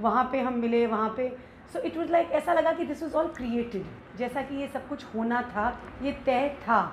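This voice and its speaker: With a high pitch, ordinary pitch variation and a moderate pace, a woman speaks over light background noise with audible room echo. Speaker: interviewee, spouse of an actor. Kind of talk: interview answer. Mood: warm, storytelling. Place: home room.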